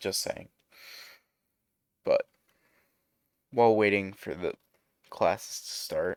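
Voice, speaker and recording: Very slow speech broken by long, frequent pauses comes through dry and close, with no echo. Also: man, big swings in loudness. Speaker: YouTube fan-fiction narrator. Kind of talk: casual outro to viewers; story narration. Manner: lazy-sounding; monotone.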